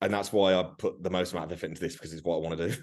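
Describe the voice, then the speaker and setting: A man speaks at a very fast pace in an animated tone with a very deep, low pitch. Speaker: fitness coach. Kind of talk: casual chat. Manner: loud.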